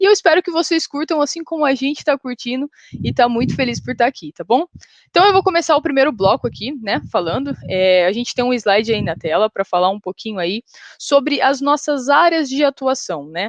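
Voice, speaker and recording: At a fairly quick pace, a woman with an interior São Paulo accent speaks at a high pitch with very wide pitch swings. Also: dry, close sound with no echo. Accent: caipira rhotic R of interior São Paulo. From interior of São Paulo state, Brazil. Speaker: software developer, panel moderator. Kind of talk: conference panel hosting.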